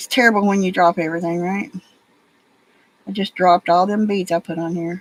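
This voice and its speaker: Heard in a dry, close sound with no echo, a woman with a Southern US accent and a medium pitch speaks at a fairly quick pace with fairly even intonation, big swings in loudness and long, frequent pauses. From Alabama, US South. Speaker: crafting livestreamer. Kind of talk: casual livestream chat while beading.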